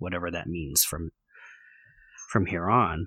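Bright and sharp in tone with vocal fry, a man with an American accent is heard in a very clean recording with a silent background and a dry, close sound with no echo. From US West Coast, San Francisco Bay Area. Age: 40s. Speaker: events company owner. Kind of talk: interview, personal story. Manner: halting, many fillers.

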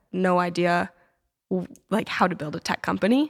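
A woman speaks at a fairly quick pace with a medium pitch, in an ordinary speaking voice. The sound is dry and close, with no echo. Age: 20s. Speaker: startup founder and college student. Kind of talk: casual interview.

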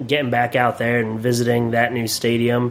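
Noticeable background noise runs under the speech. A man talks with an American accent. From Pennsylvania, Williamsport. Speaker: podcast host. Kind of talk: casual interview.

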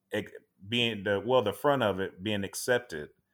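With an American accent, a man has an ordinary speaking voice at a medium pitch and lively intonation. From Tampa, Florida. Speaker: firefighter. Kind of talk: casual interview.

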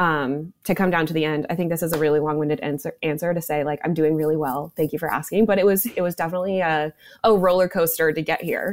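Hardly pausing at all, a woman talks at a very fast pace with fairly even intonation and a fairly low pitch. The recording is very clean, with a silent background. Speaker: reality show contestant. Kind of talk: casual interview.

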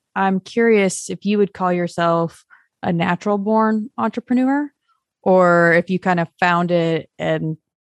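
A woman with a normal speaking voice, medium pitch and ordinary pitch variation, against a quiet background. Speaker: podcast host. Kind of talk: interview. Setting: video call.

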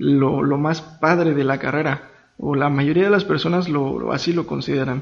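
Here a man with a fairly high pitch has an unremarkable speaking voice. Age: 20s. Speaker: civil engineer. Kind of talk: casual interview chat.

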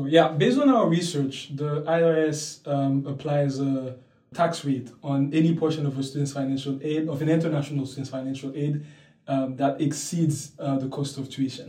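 A man's fairly high, dark, mellow, somewhat breathy voice in a flat monotone at a moderate pace, with audible room echo. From Haiti, Port-au-Prince. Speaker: university student. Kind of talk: interview. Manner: hesitant, with fillers.

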